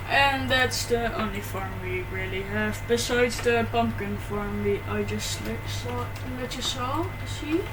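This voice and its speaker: A woman talks at a fairly slow pace. There is noticeable background noise. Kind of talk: casual gameplay commentary. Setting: home microphone, poor quality.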